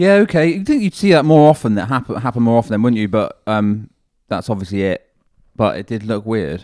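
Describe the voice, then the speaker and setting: Speaking fairly quickly, a man with a Devon accent has a medium pitch and very wide pitch swings. The recording is very clean with a silent background. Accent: Devon, West Country English. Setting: sports commentary.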